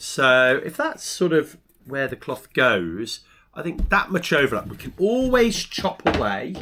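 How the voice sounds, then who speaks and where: A man talks fairly slowly at a fairly high pitch, with a bright, sharp tone. His pitch swings very widely and his loudness rises and falls sharply. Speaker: sailing video maker. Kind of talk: DIY tutorial. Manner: casual.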